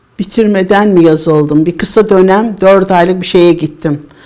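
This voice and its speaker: A woman speaks at a medium pitch in a dark, mellow tone with ordinary pitch variation. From Istanbul, Turkey. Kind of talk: oral history interview answer.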